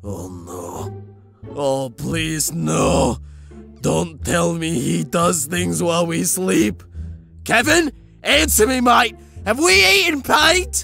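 In a put-on character voice at medium pitch, a man speaks at a very slow pace with long, frequent pauses as faint music plays in the background. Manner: grumpy, exasperated, sneering.

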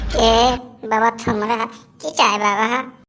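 A woman's cartoonish character voice, fairly high in pitch, with monotone, flat intonation.

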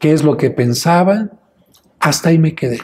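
A man speaks at a fairly slow pace in a high pitch. His tone is dark and mellow. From Mexico, Mexico City; Mexico. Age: 60s. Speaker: priest. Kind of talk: interview; interview answer.

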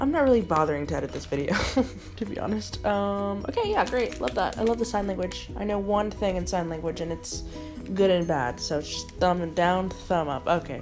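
A woman speaks at a fairly quick pace with clear music in the background. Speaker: vlogger. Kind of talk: casual vlog chat. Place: home room. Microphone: phone near.

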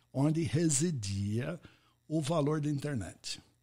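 In a very clean recording with a silent background, a man with an English accent talks in a somewhat breathy, fairly high-pitched voice with lively intonation. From US, Pittsburgh. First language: English (speaking Portuguese). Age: 70s. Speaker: podcast host and networking expert. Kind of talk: interview conversation.

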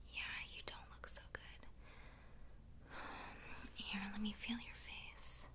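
A woman talks at a very slow pace with long, frequent pauses. Noticeable background noise runs underneath. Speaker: ASMR roleplay creator. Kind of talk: ASMR roleplay. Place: home room.

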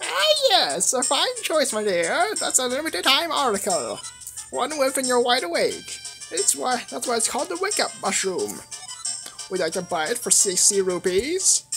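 Using a put-on character voice at an extremely high pitch, a man talks at a moderate pace with clear music behind him. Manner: theatrical shopkeeper.

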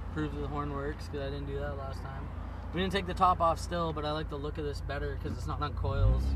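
A man talks at a very fast pace with ordinary pitch variation. The sound is dry with no echo, over loud background noise. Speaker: car hobbyist vlogger. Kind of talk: casual vlog chat. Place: car. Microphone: phone near.

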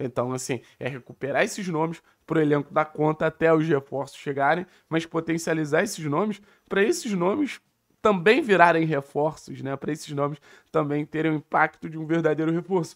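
The background is quiet as a man talks at a fairly quick pace. His pitch varies in an ordinary way. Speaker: football commentator. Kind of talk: football commentary, podcast talk. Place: home room. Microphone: studio mic.

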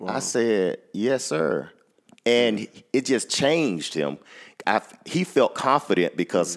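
In an American accent, a man with a medium-pitched voice and vocal fry speaks at a very slow pace, his pitch swinging very widely. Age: 40s. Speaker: school principal and author. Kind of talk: interview.

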